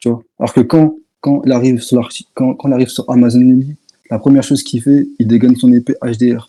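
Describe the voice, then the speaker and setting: Soft-spoken and very fast, a man talks in a dark, mellow tone at medium pitch with monotone, flat intonation. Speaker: online debater. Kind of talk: heated debate.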